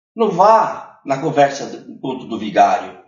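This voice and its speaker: The man's voice sits fairly high, with vocal fry and very wide pitch swings. He speaks at a fairly slow pace, and audible room echo surrounds him. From northern Paraná, Brazil. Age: 70s. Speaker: former city councillor and union activist. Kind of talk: interview. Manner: animated.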